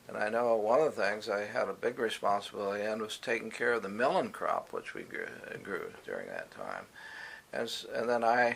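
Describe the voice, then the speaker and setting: A man speaks with an American accent. There is noticeable background noise. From Indiana, USA. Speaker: retired university professor and administrator. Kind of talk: oral history interview answer.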